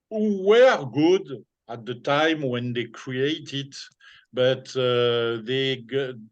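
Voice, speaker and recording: In a French accent, a man speaks at a very slow pace with a medium pitch and ordinary pitch variation. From France. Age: 60s. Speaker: former DJ and businessman. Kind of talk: interview. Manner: halting.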